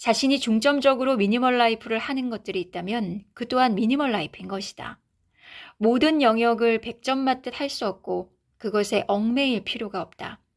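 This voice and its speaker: A woman speaks in a calm, soothing tone at a moderate pace, her pitch fairly high with ordinary variation. The recording is very clean, with a silent background. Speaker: author and YouTuber reading her own book. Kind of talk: reading aloud.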